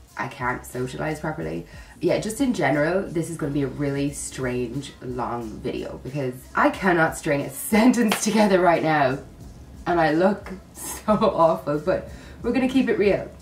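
Moderate pace from a woman with a very deep, low pitch, audible room echo and light background noise. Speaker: vlogger. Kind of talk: casual vlog chat. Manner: sick, groggy, slightly slurred voice. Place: home room. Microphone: phone near.

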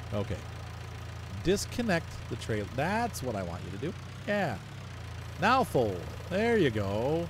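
A somewhat breathy man at a medium pitch, fairly slow pace, very wide pitch swings, and long, frequent pauses. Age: 40s. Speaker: gaming YouTuber. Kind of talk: gameplay commentary. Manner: casual, rambling narration.

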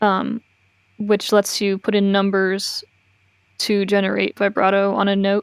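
Against a quiet background, a woman's voice comes through dry, with no echo. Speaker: Vocaloid music producer. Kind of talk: casual chat. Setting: video call. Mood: calm explanatory. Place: home room.

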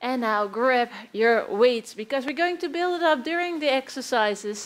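Speaking at a moderate pace, a woman with a high pitch uses lively intonation. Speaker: fitness instructor. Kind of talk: workout instruction. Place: empty room.

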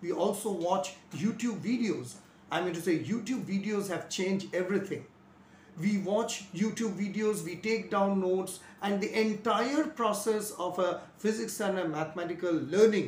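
Light background noise and audible room echo surround a man speaking at a high pitch and a moderate pace with ordinary pitch variation. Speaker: physics teacher. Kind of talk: lecture. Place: home room. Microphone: lapel.

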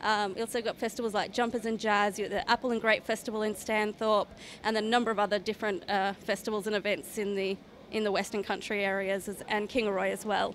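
A woman speaks at a very fast pace in a flat monotone. Light background noise is present. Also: dry sound with no echo. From Queensland, Australia (Toowoomba); Queensland, Australia. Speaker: regional tourism promoter. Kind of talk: interview at trade show. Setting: trade show floor. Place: hall. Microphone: handheld.

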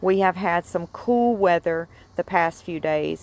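A woman with a fairly low pitch talks at a fairly slow pace in a dry sound with no echo. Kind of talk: tutorial. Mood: relaxed, cheerful, laughing. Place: garden. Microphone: phone near.

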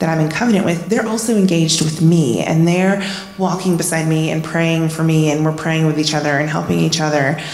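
Audible room echo carries a woman's fairly low voice. She keeps a moderate pace and fairly even intonation. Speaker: church member. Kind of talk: testimony. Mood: warm, earnest. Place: church. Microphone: handheld.

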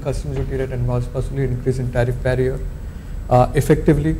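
A man races along at a very fast pace while noticeable background noise carries on behind him. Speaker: indirect tax partner. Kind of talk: presentation on tax budget.

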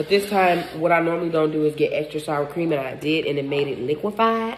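A woman's very deep, low pitch with ordinary pitch variation at a very fast pace over light background noise. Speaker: food vlogger. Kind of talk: casual mukbang vlog chat. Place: home room. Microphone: phone near.

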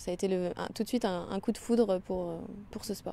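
At a fairly quick pace, a woman talks in a medium pitch with fairly even intonation, her dark, mellow tone dry with no echo. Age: 20s. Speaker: athlete; interviewee. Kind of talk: interview. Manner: hesitant. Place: stadium. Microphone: handheld.

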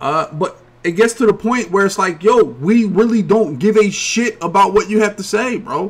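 In an American accent, the speaker talks at a moderate pace with an animated tone. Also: man. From Philadelphia, US. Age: 30s. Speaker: gaming streamer and podcast host. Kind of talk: casual chat. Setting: home streaming setup. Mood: annoyed, dismissive. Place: home room.

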